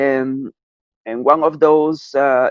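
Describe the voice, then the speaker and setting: Talking at a very slow pace, a man uses a fairly high pitch. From Cusco, Peru. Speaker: audiovisual artist, musician. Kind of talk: interview answer.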